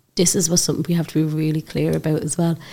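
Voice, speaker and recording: In an Irish accent, a woman speaks in a very deep, low voice with monotone, flat intonation. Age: 40s. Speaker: podcast host. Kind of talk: casual interview chat.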